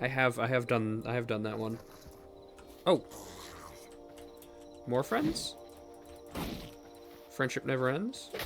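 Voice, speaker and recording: A man at medium pitch with long, frequent pauses, music in the background. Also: ordinary pitch variation. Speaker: gaming content creator. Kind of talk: casual let's play commentary.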